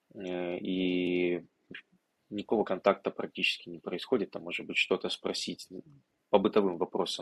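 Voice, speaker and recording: A man speaks at a moderate pace with a very deep, low pitch and a bright, sharp tone. The sound is dry and close, with no echo. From Ukraine, Odesa region. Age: 20s. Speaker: tech entrepreneur. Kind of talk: interview conversation.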